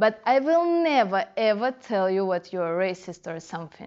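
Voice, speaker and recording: A woman with a fairly high pitch, a fairly slow pace and a Russian accent. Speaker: dancehall culture blogger. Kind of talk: casual interview.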